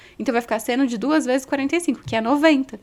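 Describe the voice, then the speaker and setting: A woman talks in a high voice with lively intonation. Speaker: physics teacher. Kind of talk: tutorial. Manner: fast.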